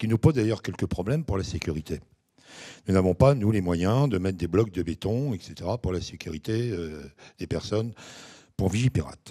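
A man's very deep, low voice with a dark, mellow tone, lively intonation, a moderate pace and long, frequent pauses over a quiet background. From France. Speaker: mayor. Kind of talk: speech. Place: hall. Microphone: handheld.

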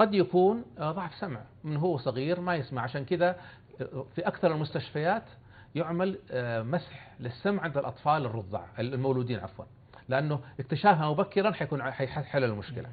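A man talks at a moderate pace in a fairly high, somewhat breathy voice with lively intonation. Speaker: professor of phoniatrics; guest. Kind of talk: TV interview. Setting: studio. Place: studio. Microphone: lapel.

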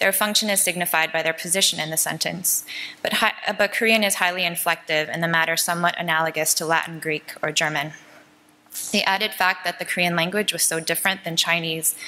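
This woman speaks at a very fast pace, her fairly low voice keeping a fairly even intonation. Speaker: conference presenter. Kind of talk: lecture. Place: hall. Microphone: podium.

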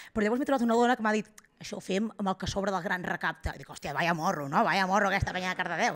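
Behind the woman, the background is quiet. Her intonation is lively. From Girona, Catalonia; Catalonia. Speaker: stand-up comedian. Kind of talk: stand-up. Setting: stage with live audience. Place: stage. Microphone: handheld.

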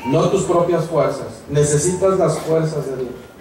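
Light background noise and audible room echo surround a man speaking at a fairly slow pace in a fairly high pitch. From Mexico. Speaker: pastor. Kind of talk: sermon. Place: tent.

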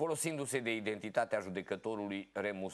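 Here a man talks at a moderate pace. His pitch is fairly low. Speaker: local TV show host. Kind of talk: reading news articles aloud. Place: studio.

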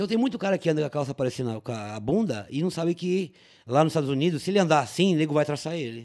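Over a quiet background, a man talks very fast at a fairly high pitch. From São Paulo city (Tatuapé); São Paulo. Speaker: police officer; podcast guest. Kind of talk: casual chat. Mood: casual, joking anecdote. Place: studio. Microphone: studio mic.

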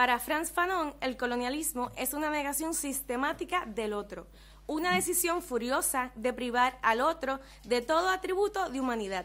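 A woman speaks with lively intonation at a moderate pace. Her voice is high-pitched. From Puerto Rico. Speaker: ethnographer researcher; presenter. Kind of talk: reading a paper aloud. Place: meeting room. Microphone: podium.

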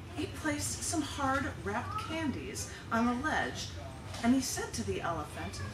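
A woman speaks at a fairly slow pace over noticeable background noise. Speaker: poet at a public reading. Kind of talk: poetry reading. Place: shop.

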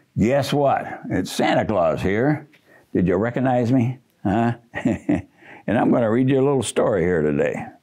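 The speaker reads a text aloud. The voice sounds natural.

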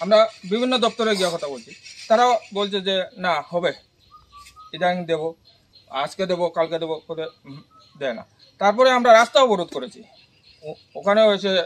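This man's voice sits high in pitch and carries lively intonation. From Tripura, India (Unakoti district). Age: 40s. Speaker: local resident. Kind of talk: interview testimony. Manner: halting.

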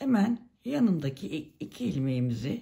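Somewhat breathy, a woman talks at a very slow pace with very wide pitch swings. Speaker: knitting tutorial creator. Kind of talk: tutorial. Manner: hesitant with many fillers.

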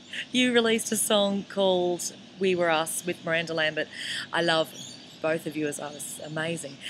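With an Australian accent, a woman talks at a moderate pace, using ordinary pitch variation. Light background noise is present. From Queensland, Australia. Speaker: country singer. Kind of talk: video message. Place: street. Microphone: webcam.

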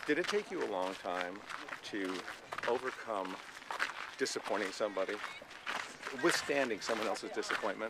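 Over loud background noise, a man talks at a fairly quick pace with long, frequent pauses in a dry sound with no echo. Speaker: comedian. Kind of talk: interview questions. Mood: relaxed, joking. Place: open country. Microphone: phone near.

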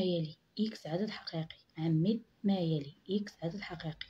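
Somewhat breathy female voice with a dark, mellow tone and ordinary pitch variation. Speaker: math teacher. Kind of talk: tutorial. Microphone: phone near.

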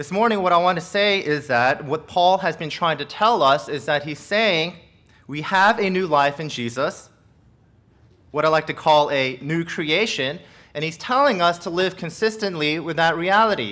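A man speaks in a bright, sharp tone. His pitch varies in an ordinary way. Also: moderate pace. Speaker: pastor. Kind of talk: sermon. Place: church. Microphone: podium.

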